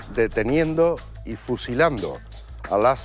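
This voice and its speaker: A man speaks with music in the background. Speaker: TV interviewer. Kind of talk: TV interview questions.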